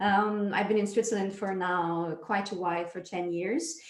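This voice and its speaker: A woman speaks with a slight French accent at a medium pitch and ordinary pitch variation. There is audible room echo. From France. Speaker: dance project director. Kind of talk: interview.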